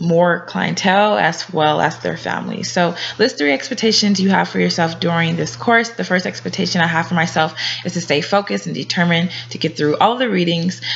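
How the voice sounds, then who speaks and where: A woman with an American accent, fairly low in pitch, at a fairly quick pace with lively intonation over noticeable background noise. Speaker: graduate student. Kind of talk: class introduction video. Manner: hesitant, many fillers.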